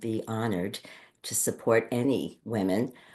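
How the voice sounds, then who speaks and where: A woman speaks with a New York accent in a very deep, low pitch. Her pace is fairly slow, and the background is quiet. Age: 60s. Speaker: podcast co-host and Ayurvedic practitioner. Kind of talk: casual chat.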